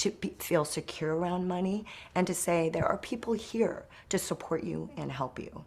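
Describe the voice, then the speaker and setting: A woman speaks at a moderate pace with a fairly low pitch and vocal fry. The recording is very clean, with a silent background. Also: ordinary pitch variation. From South Korea, moved to US at age five. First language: Korean. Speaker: wealth management business owner. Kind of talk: interview.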